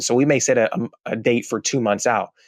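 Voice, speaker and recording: Recorded with a dry, close sound and no echo over a quiet background, a man speaks at medium pitch. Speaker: founder of a marketing agency. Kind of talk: interview. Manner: fast.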